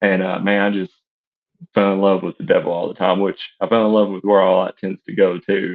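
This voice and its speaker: A man with an East Tennessee accent speaks with fairly low pitch and monotone, flat intonation. He leaves long, frequent pauses. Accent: East Tennessee Southern US. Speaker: fiction writer. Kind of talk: podcast interview.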